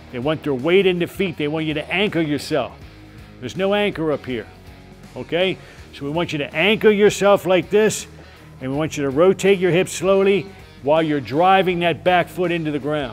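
A man talks fairly quickly in a high pitch while faint music plays in the background. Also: ordinary pitch variation. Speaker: boxing coach. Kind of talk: hands-on coaching instruction. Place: gym.

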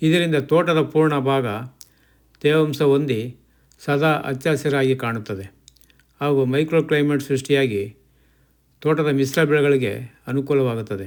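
This man has an ordinary speaking voice. His pitch is fairly high, with ordinary variation. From Mandya district, Karnataka, India. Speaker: retired official turned farmer, farming channel host. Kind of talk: scripted narration. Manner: formal.

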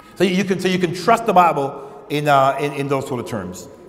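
A man is speaking. The room gives off an audible echo. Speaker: pastor preaching. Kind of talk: sermon. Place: church. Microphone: lapel.

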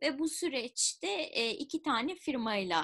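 Her pitch swings very widely from high to low. She is a woman speaking over a quiet background. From Turkey, Izmir; Turkey. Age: 30s. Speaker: public policy researcher and entrepreneur; interviewee. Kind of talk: interview. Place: home room. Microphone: webcam.

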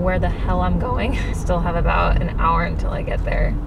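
A woman speaks over loud background noise. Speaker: vlogger. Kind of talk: casual vlog chat. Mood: nervous, excited, laughing. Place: car. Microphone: camera far.

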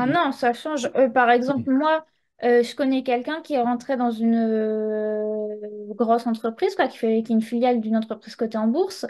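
A woman talks at a high pitch, keeping a moderate pace and ordinary pitch variation. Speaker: young Gen Z guest. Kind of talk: casual chat.

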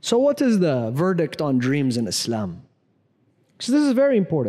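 Over a quiet background, a man with a fairly high pitch and a dark, mellow tone speaks at a moderate pace, his pitch swinging very widely. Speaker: Islamic scholar giving a Ramadan lecture. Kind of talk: religious lecture to a live audience. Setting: mosque, live lecture. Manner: conversational, humorous. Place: church. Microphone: lapel.

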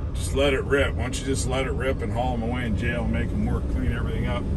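Loud background noise surrounds a man's speech. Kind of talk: casual commentary. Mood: sarcastic, critical. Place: car. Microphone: phone near.

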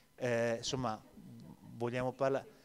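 A man talks at a fairly quick pace. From Venice; Italy. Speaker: labour market expert; speaker. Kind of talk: panel discussion. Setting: stage with audience. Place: hall. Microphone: handheld.

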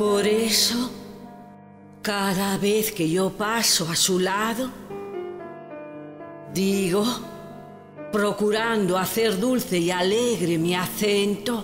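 A woman with a medium pitch speaks very slowly, leaving long, frequent pauses, with music playing in the background. Her loudness stays very even and her intonation fairly even. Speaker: poetry reciter. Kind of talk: poetry reading.

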